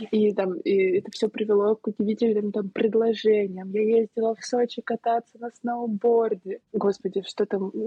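Fairly high, somewhat breathy woman's voice at a moderate pace, fairly even in intonation, with hardly any pauses. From Saint Petersburg, Russia. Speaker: planning coach and pastry shop owner. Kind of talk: casual podcast conversation.

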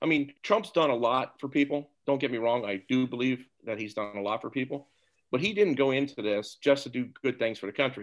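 A man has a plain, everyday voice with an American accent. He talks at a fairly quick pace on a very clean recording with a silent background. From Topeka, Kansas. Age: 60s. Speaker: guest, marine veteran and businessman. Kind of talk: discussion.

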